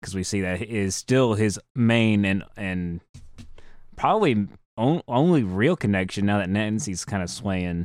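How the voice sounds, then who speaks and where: At a fairly slow pace, a man with a plain, everyday voice speaks at a fairly low pitch with ordinary variation, the recording very clean with a silent background and a dry, close sound with no echo. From rural US South. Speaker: podcast co-host. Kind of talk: casual chat.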